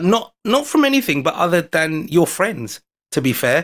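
The speaker has a London accent. The pace is fairly quick and the intonation lively. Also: man. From London, England. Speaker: foreign correspondent and amateur magician. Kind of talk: casual chat. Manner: animated storytelling.

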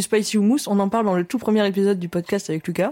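A woman with a medium-pitched voice and a dark, mellow tone speaks with fairly even intonation. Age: 20s. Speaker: podcast host. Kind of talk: casual chat; scripted intro.

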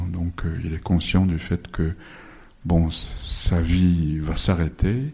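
Very slow and somewhat breathy, a man with a very deep, low pitch speaks in a dark, mellow tone with fairly even intonation and long, frequent pauses. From Japan. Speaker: novelist. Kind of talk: bookshop author talk. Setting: bookshop event with audience.

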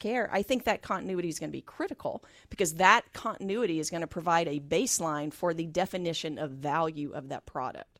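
In a very clean recording with a silent background, a woman talks at a very fast pace with hardly any pauses and ordinary pitch variation. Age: 50s. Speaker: health tech company CEO. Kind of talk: radio interview. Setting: radio studio.

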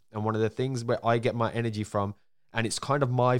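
Fairly low in pitch, a man speaks with a Birmingham accent. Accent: Birmingham (Brummie) English. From Birmingham, England. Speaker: podcast host. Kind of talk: interview. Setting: remote call. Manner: fast talker; stumbles over words.

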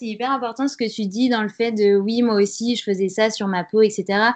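Moving at a moderate pace, an ordinary speaking voice keeps its intonation fairly even. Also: woman. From France, Grenoble. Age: 20s. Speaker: freelance communications writer. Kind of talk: interview testimony.

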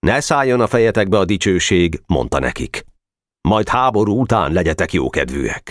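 Someone reads aloud in a natural voice with lively intonation, and the surroundings stay quiet.

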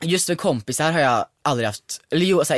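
The recording is very clean with a silent background and a dry, close sound with no echo. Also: man. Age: 20s. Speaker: podcast co-host. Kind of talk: casual chat.

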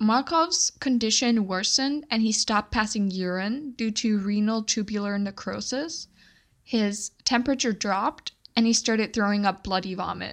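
Over a quiet background, a woman speaks in an ordinary speaking voice at a fairly high pitch. Her pitch variation is ordinary and her pace moderate. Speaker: true crime podcast host and storyteller. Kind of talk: casual storytelling. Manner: conversational, laughs often.

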